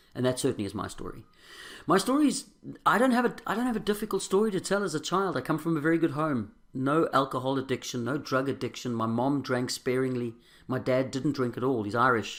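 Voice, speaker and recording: A man talks at a very fast pace in a South African accent. His intonation is lively. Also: very clean recording, silent background. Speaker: recovering alcoholic sharing his story. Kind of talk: testimony. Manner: halting.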